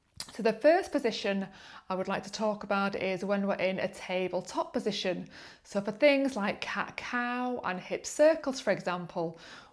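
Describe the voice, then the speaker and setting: With an unremarkable speaking voice, a woman talks at a moderate pace, her medium pitch carried by lively intonation. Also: very clean recording, silent background. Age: 40s. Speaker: yoga teacher. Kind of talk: tutorial. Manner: calm, gentle.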